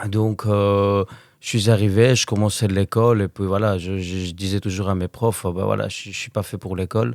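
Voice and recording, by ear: A man talks at a fairly quick pace with a fairly low pitch and little pitch movement. The tone is slightly mellow, and the recording is very clean with a silent background.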